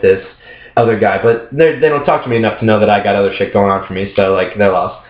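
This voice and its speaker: Noticeable background noise is present throughout. The man's pitch sits fairly low. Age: 20s. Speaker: male model and former go-go dancer. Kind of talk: casual chat.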